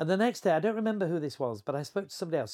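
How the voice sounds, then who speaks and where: The recording is very clean, with a silent background and a dry, close sound lacking echo. A man speaks with a Yorkshire accent. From Yorkshire, England (Horsforth, near Leeds). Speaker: travelling evangelist. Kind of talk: interview.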